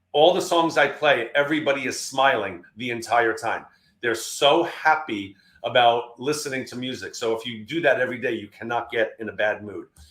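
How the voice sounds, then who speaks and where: This man's medium-pitched voice shows ordinary pitch variation and big swings in loudness. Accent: New York. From New York. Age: 60s. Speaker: keynote speaker. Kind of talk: webinar presentation. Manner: fast.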